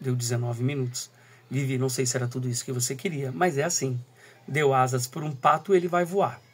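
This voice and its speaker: A soft-spoken man with a medium pitch talks at a moderate pace. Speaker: teacher and school coordinator. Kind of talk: recorded talk. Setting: at home, early morning.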